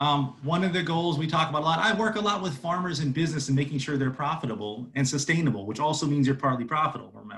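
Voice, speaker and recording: Speaking at a very fast pace, a man with a fairly high voice uses lively intonation. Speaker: agricultural extension educator. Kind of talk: lecture. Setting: video call.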